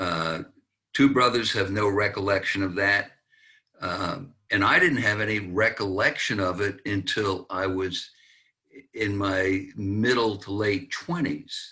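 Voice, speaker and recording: Bright, sharp tone from a man with a fairly low pitch and ordinary pitch variation, at a fairly slow pace, in a very clean recording with a silent background. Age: 70s. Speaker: author. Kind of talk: interview testimony.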